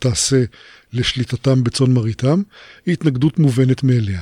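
A man speaks at a medium pitch in a dark, mellow tone. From Israel, kibbutz. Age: 60s. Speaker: professor, internet researcher. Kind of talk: interview. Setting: studio. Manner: hesitant, frequent fillers.

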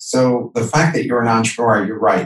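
A somewhat breathy man with fairly even intonation. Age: 50s. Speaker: entrepreneur and author. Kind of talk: interview.

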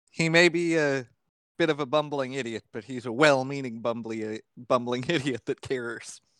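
In a very clean recording with a silent background and a dry, close sound with no echo, a man uses a plain, everyday voice, with ordinary pitch variation at a moderate pace. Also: medium pitch for a man. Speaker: player in tabletop roleplaying game. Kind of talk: casual tabletop roleplaying session.

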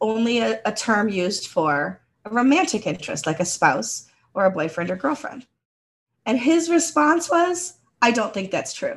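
A woman with an American accent speaks at a moderate pace in a fairly high pitch, with vocal fry and very wide pitch swings. The recording is very clean, with a silent background. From United States. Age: 50s. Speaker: podcast co-host. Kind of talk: casual chat.

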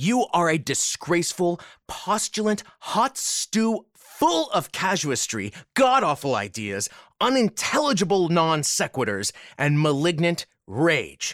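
A man with a high pitch speaks at a fairly slow pace with very wide pitch swings. The recording is very clean, with a silent background and a dry, close sound with no echo. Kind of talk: reading aloud. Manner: profane, ranting, comedic.

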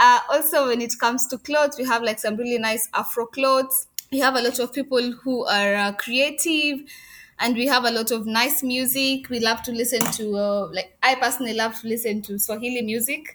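A woman with a Kenyan accent, high in pitch, at a fairly quick pace with fairly even intonation, over noticeable background noise. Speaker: crochet business owner. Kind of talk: interview conversation.

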